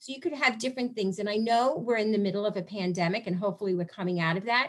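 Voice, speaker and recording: Talking at a very fast pace, a woman has a fairly high pitch. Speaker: PTA representative. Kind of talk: webinar presentation.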